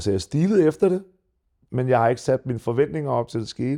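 Over a very clean recording with a silent background, the voice carries a dark, mellow tone. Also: man. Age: 40s. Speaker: retired mixed martial arts fighter. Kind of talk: casual interview. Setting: studio. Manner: hesitant, many fillers.

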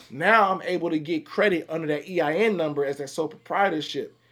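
A man with an American accent, high-pitched, fairly quick, with ordinary pitch variation. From Chicago, Illinois. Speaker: credit advisor. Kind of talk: casual chat. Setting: studio.

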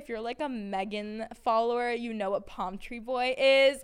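An animated woman speaks at a moderate pace in an American accent. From Massachusetts, Peabody. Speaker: sports media personality and college student. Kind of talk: casual monologue podcast. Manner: animated, chatty with many fillers.

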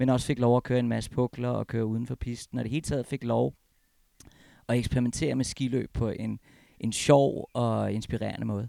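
A man speaks at a medium pitch in a dark, mellow tone, recorded dry and close with no echo. His pace is moderate and his intonation monotone and flat. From Copenhagen, Denmark. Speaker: former pro freeskier, ski federation staffer. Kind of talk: casual interview. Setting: at home.

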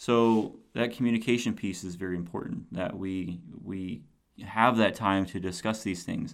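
A man with an ordinary speaking voice, fairly low in pitch, at a moderate pace with fairly even intonation. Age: 40s. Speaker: podcast host and youth mentor. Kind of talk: solo podcast monologue. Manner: casual, with frequent fillers.

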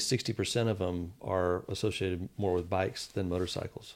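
A man with an American accent speaks in an unremarkable speaking voice with fairly even intonation, in a very clean recording with a silent background. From Texas, Fort Worth. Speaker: hospital executive. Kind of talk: casual interview chat.

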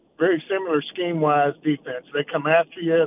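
Speaking at a moderate speed, a man uses a fairly high pitch. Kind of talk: radio interview. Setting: phone call.

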